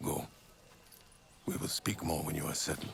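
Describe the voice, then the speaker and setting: Over clear background noise, a man puts on a raspy character voice at a moderate pace. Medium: video game. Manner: grave, measured.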